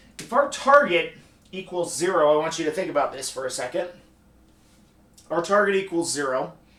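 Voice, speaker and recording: A man speaks with a high pitch. There is audible echo from the room. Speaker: economics instructor. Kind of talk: lecture. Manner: halting, self-correcting.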